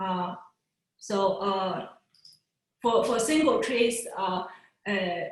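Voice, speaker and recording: A woman's somewhat breathy, medium-pitched voice at a very slow pace, with ordinary pitch variation, long, frequent pauses, and audible room echo. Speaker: physicist giving a research talk. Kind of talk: lecture. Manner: halting, many fillers.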